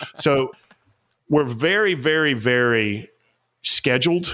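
A man talks in an enthusiastic, animated tone with a Southern US accent. His pitch varies in an ordinary way. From Atlanta, Georgia. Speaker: author and executive coach.

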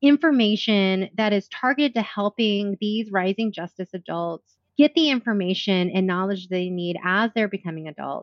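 An ordinary speaking voice at a moderate pace. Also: woman. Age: 40s. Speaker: president of a sex education nonprofit. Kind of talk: interview.

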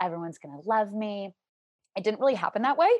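With an American accent, a woman speaks at a medium pitch over a quiet background. She has an unremarkable speaking voice. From US South, Louisiana (Shreveport). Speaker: corporate trainer. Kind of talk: casual interview chat. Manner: fast, filler-heavy.

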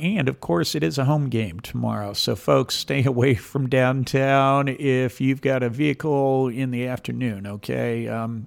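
A man is speaking. His intonation is lively. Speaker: community radio host. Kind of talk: radio talk show. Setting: radio studio. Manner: loud.

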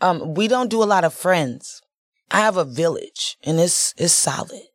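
A woman with an American accent and a plain, everyday voice, at a moderate pace with ordinary pitch variation, on a very clean recording with a silent background. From Chicago, West Side. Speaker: nonprofit founder and entrepreneur. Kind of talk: podcast interview.

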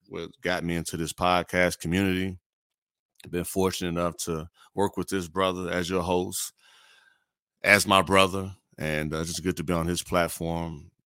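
With an American accent, a man speaks at a moderate pace using long, frequent pauses and monotone, flat intonation. His very deep, low pitch carries a bright, sharp tone in a dry, close sound with no echo. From Gary, Indiana (Chicagoland, US Midwest). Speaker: podcaster, former college basketball player. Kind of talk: casual interview chat. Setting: remote call while on another line.

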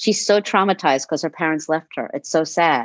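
An ordinary speaking voice from a woman, fairly low in pitch with ordinary variation, at a fairly quick pace, with a dry, close sound with no echo and a quiet background. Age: 50s. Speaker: former cult member. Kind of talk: interview about life experience.

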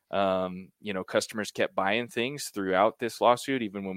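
On a very clean recording with a silent background, a man talks at a very fast pace in a fairly low pitch. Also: dry, close sound with no echo. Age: 30s. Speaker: watch company founder. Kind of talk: interview. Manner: halting.

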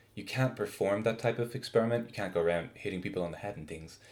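The speaker is a man. He has an Irish accent. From Ireland. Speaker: research scientist. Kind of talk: interview.

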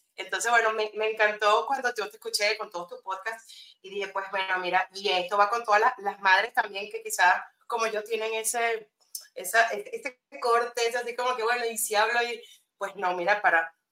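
At a moderate pace, a woman speaks in a bright, sharp tone at a fairly high pitch. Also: big swings in loudness. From Venezuela. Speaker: copywriter, former journalist. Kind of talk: interview. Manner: halting.

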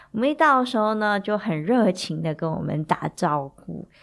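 Very wide pitch swings at a fairly slow pace on a very clean recording with a silent background. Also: woman. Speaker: podcast host, wine enthusiast. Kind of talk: casual storytelling monologue. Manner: chatty, many filler particles.

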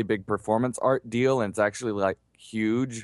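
Against a quiet background, a man with an unremarkable speaking voice talks at a fairly low pitch and moderate pace with fairly even intonation, the sound dry and close with no echo. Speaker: podcast co-host. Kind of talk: casual chat.

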